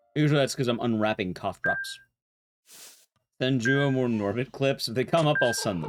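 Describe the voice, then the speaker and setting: A man's medium-pitched voice at a moderate pace, with ordinary pitch variation, long and frequent pauses, and music in the background. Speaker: speedrun streamer. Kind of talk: live gameplay streaming chat. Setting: live stream. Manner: loud; gets louder the longer he talks.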